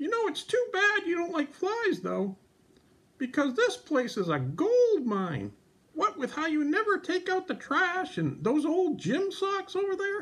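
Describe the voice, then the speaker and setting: An extremely high-pitched, cartoonish character voice. It moves at a moderate pace. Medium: puppet.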